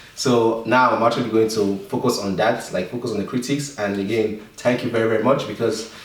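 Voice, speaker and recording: Over noticeable background noise and audible room echo, a man with a medium pitch and fairly even intonation talks at a fairly quick pace. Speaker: tech YouTuber. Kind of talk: tutorial. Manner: halting.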